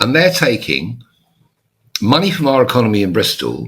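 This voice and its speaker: A man speaks at a moderate pace. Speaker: YouTuber and author. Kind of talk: monologue to camera.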